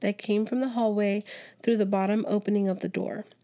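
This is a natural reading voice. It is heard reading a passage.

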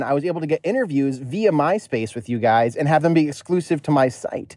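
A man with a plain, everyday voice, fairly high pitch, ordinary pitch variation and a fairly quick pace, in an American accent. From US Northeast. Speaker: podcast listener calling in. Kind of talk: voicemail story.

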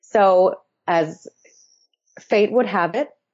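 An ordinary speaking voice from a woman with an American accent, ordinary pitch variation and a moderate pace, against a quiet background. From Massachusetts. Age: 20s. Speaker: activist and consultant. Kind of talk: interview.

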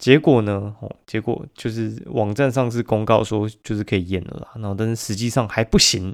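A man with a Taiwanese accent speaks at a fairly low pitch. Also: very clean recording, silent background. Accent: Taiwanese Mandarin. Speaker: podcast host. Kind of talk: casual chat. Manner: animated.

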